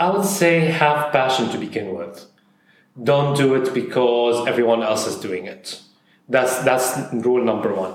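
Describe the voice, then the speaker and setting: A man of medium pitch with lively intonation, at a fairly slow pace, amid audible room echo. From Saudi Arabia (Syrian family). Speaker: food influencer and creative director. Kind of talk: casual interview. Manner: hesitant with fillers.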